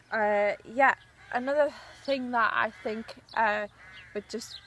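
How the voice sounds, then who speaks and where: A woman's high-pitched voice at a fairly slow pace. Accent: Newcastle. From northern England, Newcastle. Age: 20s. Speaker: journalist. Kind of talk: audition video monologue. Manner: hesitant, many fillers.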